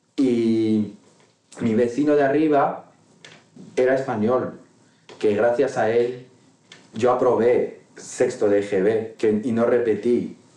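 A man with a medium-pitched voice talks at a very slow pace with long, frequent pauses, very even loudness and fairly even intonation, and there is audible room echo. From Morocco, Tangier. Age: 30s. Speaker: interview guest. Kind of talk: casual interview. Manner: halting, many repetitions and fillers.

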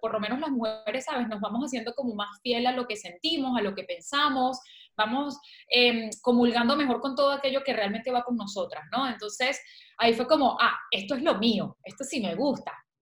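A woman's high voice with a Venezuelan accent, at a moderate pace with ordinary pitch variation. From Venezuela, Valencia. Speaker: author and communicator. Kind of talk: interview.

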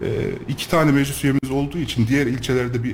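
The voice is male. Noticeable background noise accompanies it. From Turkey, Kayseri. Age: 30s. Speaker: local politician and architect. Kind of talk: radio interview. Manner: frequent hesitation fillers.

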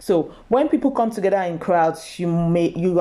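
Her voice is fairly low for a woman, with a dark, mellow tone. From Nigeria. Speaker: nurse. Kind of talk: talk. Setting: video call.

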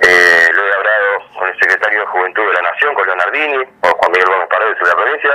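There's noticeable background noise as a man talks at a fairly quick pace. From Argentina, Avellaneda (Buenos Aires). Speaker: youth political activist. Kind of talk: radio interview.

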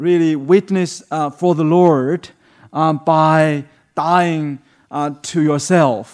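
A man with a Chinese accent speaks at a fairly high pitch with fairly even intonation on a very clean recording with a silent background. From China. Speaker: human rights advocate and pastor. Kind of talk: sermon. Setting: church. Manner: halting, many fillers.

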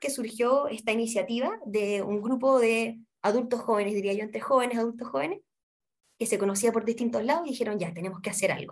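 Talking at a very fast pace, a woman with a fairly high voice uses ordinary pitch variation. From Chile, Santiago. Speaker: literacy nonprofit coordinator and tutor. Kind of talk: interview.

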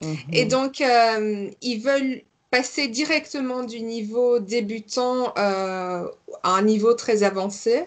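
A woman's fairly high voice moves along at a very slow pace. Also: ordinary pitch variation. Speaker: French teacher and podcast host. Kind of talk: casual interview.

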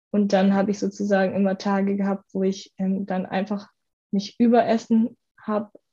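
A woman speaks at a medium pitch in a dark, mellow tone, somewhat breathy and flat in intonation, against a quiet background. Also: moderate pace. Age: 20s. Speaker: university student, former coaching client. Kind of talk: podcast interview, personal testimony.

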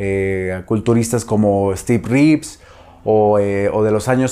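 A man speaks in a dark, mellow tone with fairly even intonation on a very clean recording with a silent background. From Mexico, Zamora, Michoacán. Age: 30s. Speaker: nutritionist and fitness trainer. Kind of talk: personal storytelling vlog. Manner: halting, many fillers and repetitions.

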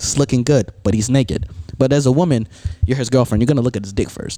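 The man speaks at a very fast pace. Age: young. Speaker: podcast host and college radio DJ. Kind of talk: casual chat. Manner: energetic.

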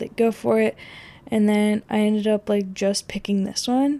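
A woman's fairly high voice with a dark, mellow tone, an American accent and a monotone, flat intonation. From rural Oregon, US Pacific Northwest. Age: 20s. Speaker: podcaster, university student. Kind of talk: casual monologue. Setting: at home, bedroom.

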